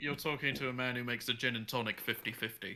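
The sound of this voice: A man talks at a fast pace with a medium pitch. His tone is bright and sharp, and his intonation is fairly even.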